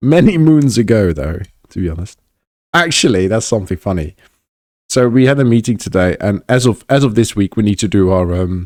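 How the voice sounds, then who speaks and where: In an English accent, a man talks at a fairly quick pace, fairly low in pitch with lively intonation. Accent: English accent, learned in England. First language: Dutch. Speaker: podcast host. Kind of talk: casual chat. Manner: halting, many fillers and restarts.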